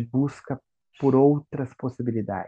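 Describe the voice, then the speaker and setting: A man speaks in a monotone with flat intonation, at a medium pitch, with a dark, mellow tone. The sound is dry and close, with no echo. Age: 40s. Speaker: teacher. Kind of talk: casual chat.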